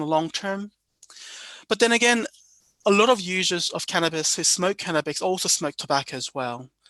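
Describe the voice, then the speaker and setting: A man's high-pitched, bright, sharp voice at a fairly quick pace, dry and close with no echo, against a quiet background. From New Zealand. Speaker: psychiatrist. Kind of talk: lecture. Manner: fast; halting.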